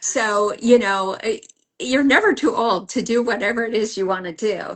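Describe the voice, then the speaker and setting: A woman speaks in a plain, everyday voice at a fairly high pitch. Her pace is moderate, with ordinary pitch variation. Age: 60s. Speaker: retired journalist. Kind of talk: interview.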